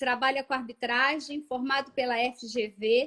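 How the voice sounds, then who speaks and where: At a very slow pace, a woman with a Minas Gerais accent speaks in a high pitch. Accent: Minas Gerais (mineiro). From Minas Gerais, Brazil. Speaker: live show host, condominium law. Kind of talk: livestream host introducing guests. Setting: online livestream.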